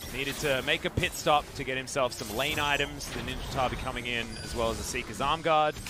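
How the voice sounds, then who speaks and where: Someone talks at a fairly quick pace with hardly any pauses and fairly even intonation, over noticeable background noise. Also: man, medium pitch for a man. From Australia. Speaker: esports commentator. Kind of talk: live commentary. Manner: fast.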